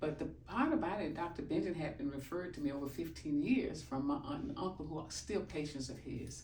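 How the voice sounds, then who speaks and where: A woman talks fairly quickly, with audible room echo and noticeable background noise around her voice. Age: 70s. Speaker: chiropractic patient. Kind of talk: testimony.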